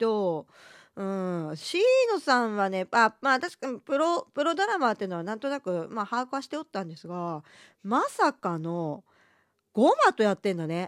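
Recorded very cleanly against a silent background, with a dry, close sound and no echo, a woman speaks in a fairly high voice with very wide pitch swings and big swings in loudness. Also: moderate pace. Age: middle-aged. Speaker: podcast host. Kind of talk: casual chat. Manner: subdued, low energy.

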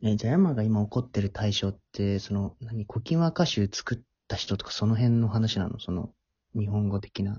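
This man's voice sits at a fairly low pitch. There is a somewhat breathy quality to it. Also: ordinary pitch variation, moderate pace. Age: 20s. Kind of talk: casual chat.

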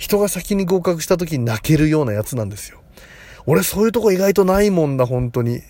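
A man with a high-pitched voice talks at a fairly quick pace. His pitch swings very widely and his loudness rises and falls sharply. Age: 40s. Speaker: psychic comedian and podcaster. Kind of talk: casual monologue. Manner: rambling, conversational.

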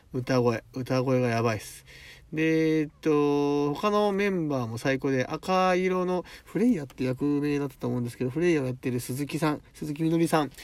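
Here a man talks at a moderate pace. His pitch is fairly high with ordinary pitch variation. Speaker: podcast host. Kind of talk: casual monologue. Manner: animated.

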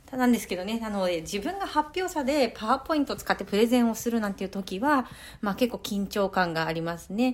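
This woman talks at a very fast pace with lively intonation. Her pitch is fairly high. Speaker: podcaster, working parent and grad student. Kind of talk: solo talk. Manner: casual and polite.

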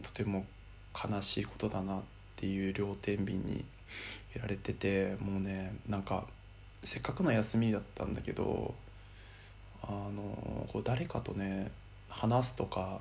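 A man's fairly low voice, fairly slow with long, frequent pauses, ordinary pitch variation and audible room echo. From Miyagi, Japan. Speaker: podcaster. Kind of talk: personal monologue.

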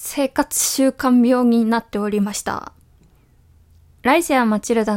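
In a very clean recording with a silent background and a dry, close sound with no echo, a woman speaks fairly slowly at a high pitch with fairly even intonation. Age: 20s. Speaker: web writer and podcaster. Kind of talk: solo monologue. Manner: casual, many fillers.

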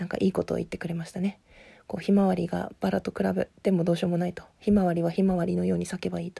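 A woman talks at a very fast pace. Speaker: podcaster discussing a TV drama. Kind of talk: casual monologue.

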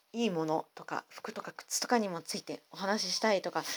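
Her words come at a very fast pace. The woman is heard on a very clean recording with a silent background. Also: dry, close sound with no echo. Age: 40s. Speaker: podcast host. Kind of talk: casual monologue.

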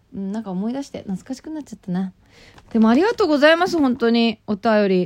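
A woman talks at a fairly high pitch, her voice swinging very widely up and down. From Japan, Nagano Prefecture. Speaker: radio personality. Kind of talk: casual talk radio monologue with letter reading. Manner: imitates local FM reporter style while reading.

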